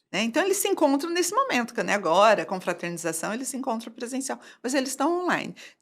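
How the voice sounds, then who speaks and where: The speaker's pitch moves through very wide swings. The recording is very clean, and the background is silent. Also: woman. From Brazil, São Paulo state (Valinhos). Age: 60s. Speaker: entrepreneur running courses for seniors. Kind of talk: podcast interview.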